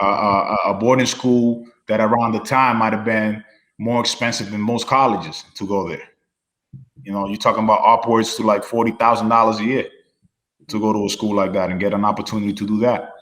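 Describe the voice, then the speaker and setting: The man talks at a fairly quick pace. His intonation stays fairly even. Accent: slight non-native. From Dominican Republic, moved to New Hampshire as a child. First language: Spanish. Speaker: former student athlete. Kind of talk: casual interview chat. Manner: relaxed, many fillers.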